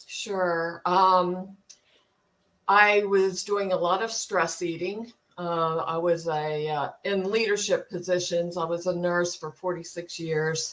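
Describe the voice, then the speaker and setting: A woman's fairly low, flat monotone with an American accent, at a very slow pace. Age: 60s. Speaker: retired nurse, coaching client. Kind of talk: interview testimony. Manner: hesitant, many fillers.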